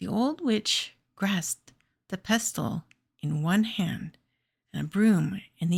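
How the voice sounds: Quiet background and a natural reading voice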